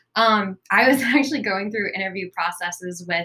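Speaking at a moderate pace with an American accent, a woman with an unremarkable speaking voice shows ordinary pitch variation. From US South, South Carolina. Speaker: social worker. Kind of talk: casual chat.

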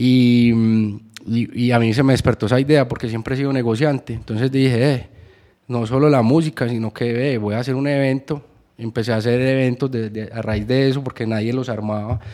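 A man talks at a fairly quick pace in a medium pitch. His tone is dark and mellow, his intonation monotone and flat. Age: 30s. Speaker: music manager and executive producer. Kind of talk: interview.

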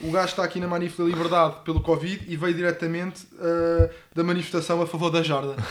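Over noticeable background noise, a man with a high pitch speaks at a very fast pace. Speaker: podcast co-host. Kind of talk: casual chat. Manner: animated.

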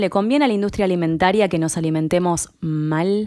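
A woman at medium pitch in a Rioplatense accent, with ordinary pitch variation, on a very clean recording over a silent background. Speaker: podcast host. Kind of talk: interview conversation; podcast intro. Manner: halting.

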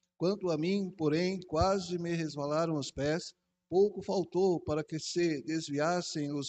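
A man speaks very slowly with a fairly high pitch. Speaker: church elder. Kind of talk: reading aloud. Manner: halting.

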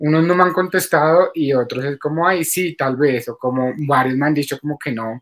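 At a moderate pace with hardly any pauses, this speaker has an unremarkable speaking voice and ordinary pitch variation. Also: man, fairly high pitch for a man. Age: 30s. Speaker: adult content creator. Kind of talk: interview.

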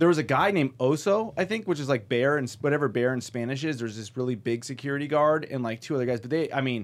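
Here a man talks very fast with an American accent. His pitch is medium, with ordinary pitch variation. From US West Coast, Pasadena, California. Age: 40s. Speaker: stand-up comedian. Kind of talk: casual chat. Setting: studio. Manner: animated.

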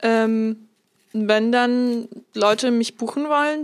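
The woman's voice sits fairly high in pitch. Her intonation stays fairly even. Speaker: podcast co-host, model. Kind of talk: casual chat.

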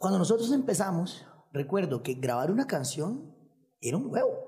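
A man talks at a moderate pace in a high voice, his pitch swinging very widely. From Costa Rica, Nicoya. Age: 30s. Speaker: singer and musician. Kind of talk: casual chat.

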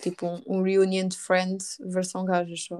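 A woman speaks in a European Portuguese accent at medium pitch. Her intonation is monotone and flat over a quiet background. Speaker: podcast host. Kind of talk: casual chat.

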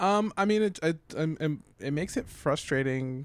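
A man with an American accent and a normal speaking voice talks at a fairly slow pace with ordinary pitch variation on a very clean recording with a silent background. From New York. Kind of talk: casual chat.

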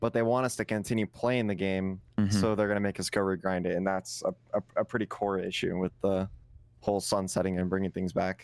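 A man speaks in a normal speaking voice at a fairly low pitch. His intonation is fairly even and his loudness very even. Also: fairly quick pace. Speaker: Destiny 2 streamer and clan member. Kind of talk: casual podcast chat about gaming.

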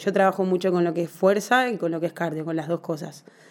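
A woman with a plain, everyday voice talks at a fairly quick pace. Her pitch sits fairly low, and her intonation stays fairly even. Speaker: personal trainer and physical education teacher. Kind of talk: interview.

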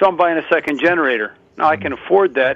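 Talking at a very fast pace, a man with an American accent has a fairly high pitch. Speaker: radio caller. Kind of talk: call-in conversation. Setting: phone call.

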